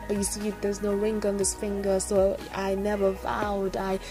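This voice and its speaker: Music runs underneath the speech. The woman keeps a moderate pace. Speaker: spoken word poet. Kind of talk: spoken word poetry reading. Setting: voice over with background music.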